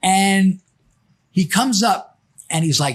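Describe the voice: A man speaks at a slow pace with a high pitch and lively intonation. His tone is fairly bright, with a slightly husky edge.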